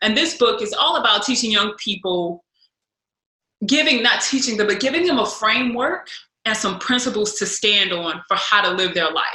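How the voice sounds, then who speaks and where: Her intonation is lively. The woman's pitch is fairly high. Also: moderate pace. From US Midwest, St. Louis, Missouri. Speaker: speaker and former college basketball player. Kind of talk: podcast interview.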